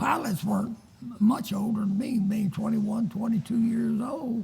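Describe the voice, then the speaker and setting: Delivered at a fairly slow pace, the speech comes with noticeable background noise. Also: man. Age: 80s+. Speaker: World War II veteran. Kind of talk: interview answer. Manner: hesitant.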